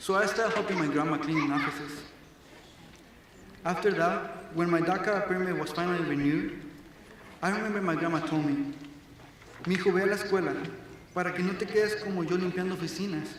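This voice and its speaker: A high-pitched man talks at a fairly quick pace. Room echo is audible, along with noticeable background noise. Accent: Mexican. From Mexico, moved to Arizona at ten. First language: Spanish. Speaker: graduating student speaker. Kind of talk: graduation speech. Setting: stage with audience.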